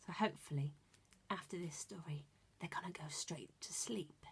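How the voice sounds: A woman speaks at a fairly low pitch with a husky, rough edge. Vocal fry runs through her voice. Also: ordinary pitch variation, moderate pace.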